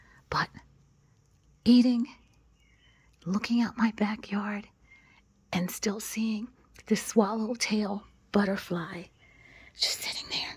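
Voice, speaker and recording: A woman's soft-spoken, somewhat breathy whispering at a very slow pace, with long, frequent pauses. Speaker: lifestyle vlogger. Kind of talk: ASMR garden vlog. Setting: outdoors. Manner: soft-spoken, whispered.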